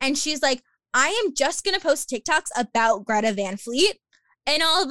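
On a very clean recording with a silent background and a dry, close sound with no echo, a woman speaks in a raised, projected, high voice, bright and sharp in tone, with very wide pitch swings. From Long Island, New York. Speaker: podcaster and athletic communications graduate assistant. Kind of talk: casual interview chat.

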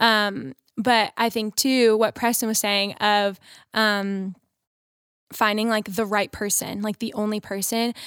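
A woman's fairly high-pitched voice, an ordinary speaking voice, at a fairly slow pace with fairly even intonation and an American accent, dry and close with no echo, on a very clean recording with a silent background. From Texas. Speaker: nursing student. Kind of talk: casual chat.

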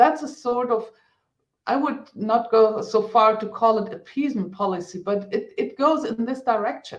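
Speaking at a moderate pace with a German accent, a woman has a fairly high pitch and ordinary pitch variation. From Germany. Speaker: politician. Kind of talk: panel discussion. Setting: online video event.

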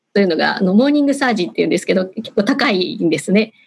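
Her fairly high-pitched voice is somewhat breathy, with lively intonation from this woman. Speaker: HR manager. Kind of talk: panel discussion. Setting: video call. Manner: formal.

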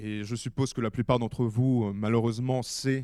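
A man speaks in a normal speaking voice at medium pitch, with ordinary pitch variation. His pace is moderate, and the recording is very clean with a silent background. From Ukraine. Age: 20s. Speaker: war reporter. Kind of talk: public talk.

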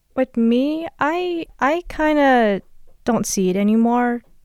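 A woman's high voice at a very slow pace and very even loudness, dry and close with no echo. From Las Vegas (moved from Los Angeles at age 4 or 5). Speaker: podcast co-host, student. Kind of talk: casual chat.

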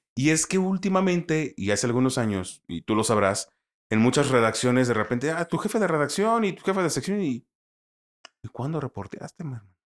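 With a fairly high pitch and very wide pitch swings, a man talks at a fairly quick pace. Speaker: sports commentator. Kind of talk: casual chat.

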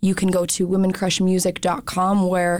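In a very clean recording with a silent background, a woman with a fairly low pitch talks at a moderate pace in an ordinary speaking voice. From US, Montana (Bitterroot Valley). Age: 20s. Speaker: musician and music organizer. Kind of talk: radio interview. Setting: radio studio.

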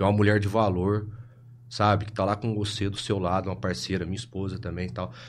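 This man talks at a very fast pace, with ordinary pitch variation and vocal fry. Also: fairly low pitch for a man. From Brazil, Ribeirão Preto (São Paulo state). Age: 30s. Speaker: clinical psychologist. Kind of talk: casual chat.

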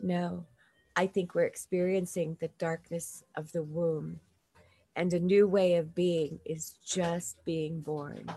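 Very slow and monotone, a woman with an American accent speaks at a fairly low pitch in a somewhat breathy voice with a dark, mellow tone. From South Dakota, US (Lakota). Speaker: podcast host. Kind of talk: casual interview.

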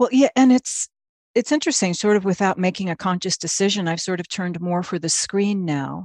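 An unremarkable speaking voice moves at a fairly quick pace with lively intonation. The sound is dry and close with no echo, and the background is quiet. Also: woman, medium pitch for a woman. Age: 50s. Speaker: actress and playwright. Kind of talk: casual chat.

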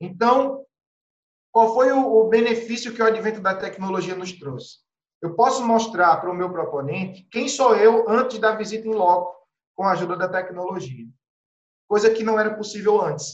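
A man speaks with high pitch at a moderate pace. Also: ordinary pitch variation. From Pernambuco, Brazil (Carpina, Recife). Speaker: real estate agent. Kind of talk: podcast interview. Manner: animated.

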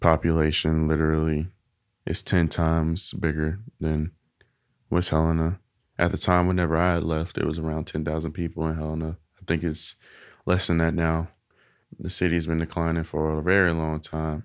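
A man's very deep, low voice with a Southern US accent, monotone and flat, at a moderate pace with long, frequent pauses, on a very clean recording with a silent background. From Arkansas, US South. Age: 20s. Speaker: interviewee sharing personal story. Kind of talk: casual interview.

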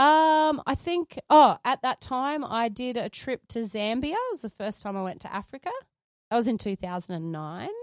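A woman with an Australian accent and a high pitch speaks at a moderate pace with very wide pitch swings, in a dry, close sound with no echo. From Australia, Sydney and Gold Coast. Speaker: photographer and filmmaker. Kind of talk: interview.

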